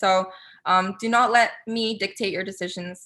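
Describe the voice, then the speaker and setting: The voice has an animated, bright and sharp tone. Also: woman. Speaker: guest speaker, content creator. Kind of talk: webinar presentation. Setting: video call. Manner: fast.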